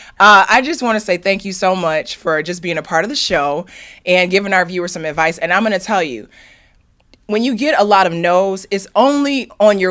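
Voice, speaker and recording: With lively intonation, a medium-pitched woman speaks at a fairly quick pace. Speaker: field reporter. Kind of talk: interview. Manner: loud.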